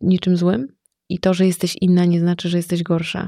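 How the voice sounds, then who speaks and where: A woman speaks in a fairly low pitch with a dark, mellow tone and monotone, flat intonation, recorded with a dry, close sound and no echo. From Masuria, Poland. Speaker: entrepreneur and stylist. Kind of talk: casual interview conversation.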